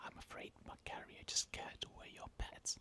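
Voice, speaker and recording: The voice is whispering. It moves at a fairly slow pace. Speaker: bedtime story narrator. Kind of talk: ASMR bedtime story reading. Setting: close-miked. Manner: whispered; soft, relaxing.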